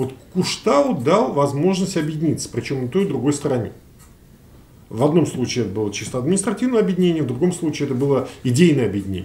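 The voice races at a very fast pace and sounds somewhat breathy. Its pitch swings very widely. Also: man, fairly high pitch for a man. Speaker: sociologist; guest. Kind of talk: panel discussion. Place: meeting room.

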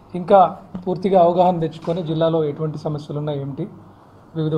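A man's fairly high-pitched voice with a dark, mellow tone and monotone, flat intonation over light background noise. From Vijayawada, Andhra Pradesh, India; Andhra Pradesh, India. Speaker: district collector. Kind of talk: press interview. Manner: halting. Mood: calm, measured. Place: office. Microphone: handheld.

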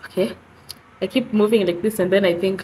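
The woman's voice is breathy, with a medium pitch, fairly even intonation and a moderate pace. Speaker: vlogger. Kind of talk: casual vlog talk. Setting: bedroom. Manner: breathy, struggling to breathe.

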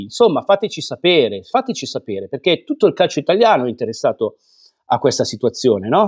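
Very wide pitch swings mark this man's speech. Behind him, the background stays quiet. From Italy. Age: 50s. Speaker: football vlogger. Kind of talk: angry rant. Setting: home studio, online video. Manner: indignant, scolding, heated; emphatic, repetitive. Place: home room. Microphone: lapel.

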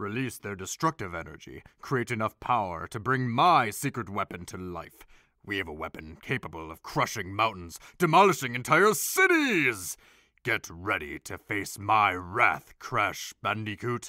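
A man performs a put-on character voice at a moderate pace, fairly low in pitch with very wide pitch swings. The sound is dry and close with no echo, a very clean recording with a silent background. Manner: menacing, grandiose.

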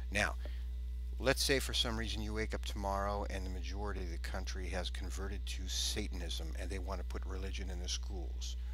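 A man speaks with a very deep, low pitch and flat, monotone intonation at a fairly quick pace. The sound is dry with no echo, with light background noise. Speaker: atheist YouTuber. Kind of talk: video response, argumentative. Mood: indignant, argumentative. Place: home room. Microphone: headset.

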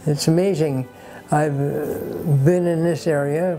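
Faint music sits in the background. A man speaks with a fairly high pitch and ordinary pitch variation. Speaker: practising doctor. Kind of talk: interview answer. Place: home room.

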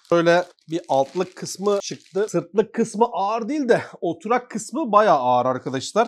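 Speaking at a moderate pace, a man uses a high voice with very wide pitch swings. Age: 30s. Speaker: YouTuber, tech product reviewer. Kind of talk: product review tutorial. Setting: office terrace, windows closed. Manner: casual, chatty.

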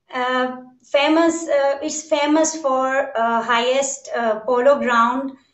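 A woman speaks with high pitch and fairly even intonation. The background is quiet, though room echo is audible. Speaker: remote guest. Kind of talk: interview answer. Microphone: video call.

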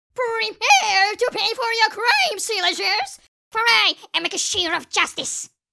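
The voice has an extremely high pitch and moves at a moderate pace. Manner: dramatic, theatrical.

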